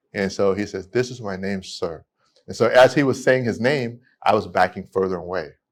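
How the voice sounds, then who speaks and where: Speaking at a fairly quick pace with an American accent, a man uses a fairly low voice with ordinary pitch variation and big swings in loudness, in a very clean recording with a silent background. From California. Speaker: immigration attorney. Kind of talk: podcast interview storytelling. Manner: halting, with repetitions.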